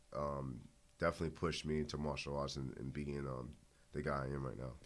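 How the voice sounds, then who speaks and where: Speaking very fast in a Boston accent, a man delivers his words in a monotone, flat intonation at a very deep, low pitch. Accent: Boston urban American English. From Boston, Dorchester. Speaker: MMA fighter. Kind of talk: interview. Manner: halting.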